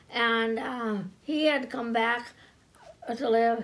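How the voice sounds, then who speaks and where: A voice with ordinary pitch variation is heard over noticeable background noise. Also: woman. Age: 80s+. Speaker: local historian. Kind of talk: oral history storytelling. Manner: halting, conversational.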